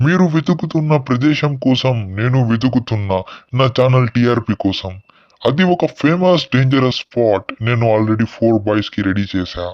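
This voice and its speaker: In a put-on character voice, a man speaks at a medium pitch. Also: moderate pace. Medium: short film. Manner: calm, sinister.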